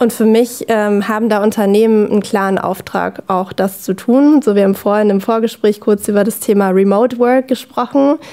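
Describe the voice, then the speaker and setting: Against a quiet background, a woman speaks with hardly any pauses in a fairly high pitch, her dark, mellow tone held at very even loudness and fairly even intonation. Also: moderate pace. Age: 20s. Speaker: former athlete, learning design consultant; podcast guest. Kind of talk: casual chat. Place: studio.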